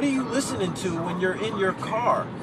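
Lively intonation from a man with a high pitch, over clear background noise

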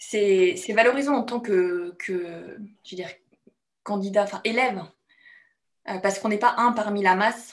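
Using ordinary pitch variation, a woman speaks at a fairly slow pace with long, frequent pauses. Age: 30s. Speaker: bootcamp participant giving testimonial. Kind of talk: testimony interview. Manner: halting, many hesitations. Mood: reflective, warm. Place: home room. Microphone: video call.

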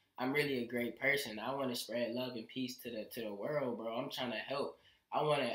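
With audible room echo but a quiet background, a man speaks at a fairly quick pace and medium pitch with fairly even intonation. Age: young. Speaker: musician. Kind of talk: casual chat. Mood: relaxed, earnest. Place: home room.

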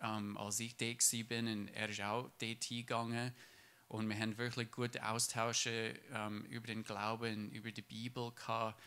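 In an English accent, a man speaks fairly slowly at a medium pitch, his bright, sharp tone set in monotone, flat intonation. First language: English (speaking German). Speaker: church member. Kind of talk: testimony. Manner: halting.

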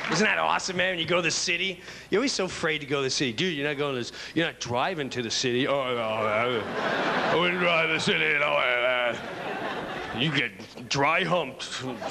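A man talks at a fairly quick pace. Noticeable background noise runs underneath. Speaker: stand-up comedian. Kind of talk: stand-up comedy routine. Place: stage. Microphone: handheld.

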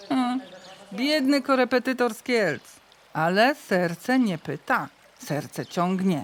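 Her words come at a very slow pace. The woman's intonation is lively. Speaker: voice-over reader. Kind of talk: folk-dialect storytelling podcast narration.

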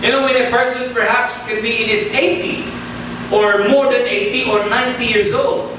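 There is noticeable background noise and strong room echo. A man speaks at a fairly slow pace. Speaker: preacher. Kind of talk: sermon. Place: church.

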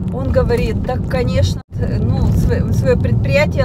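A woman at a moderate pace, in a dry sound without echo, over loud background noise. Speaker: vlogger. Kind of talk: casual vlog chat. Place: car. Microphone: phone near.

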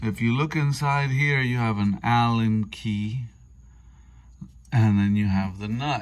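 The man talks very slowly. Pitch varies in an ordinary way. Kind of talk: tutorial. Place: garage. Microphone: phone near.

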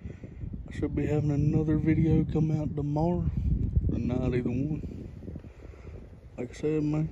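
A fairly high-pitched man's voice with an American accent, fairly slow in pace, dry with no echo, over loud background noise. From North Carolina. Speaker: ASMR creator. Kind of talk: ASMR whispering. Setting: outdoors by a pond. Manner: whispering. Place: waterside. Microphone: phone mic picks up breathing; phone near.

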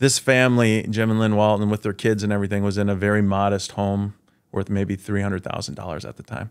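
A man with a fairly low pitch speaks at a fairly quick pace against a quiet background. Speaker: podcast guest. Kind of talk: interview answer. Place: studio. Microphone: studio mic.

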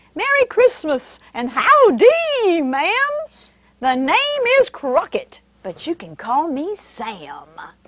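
A woman's put-on character voice in a Texan accent, extremely high in pitch, with very wide pitch swings at a very slow pace. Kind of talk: friendly, folksy.

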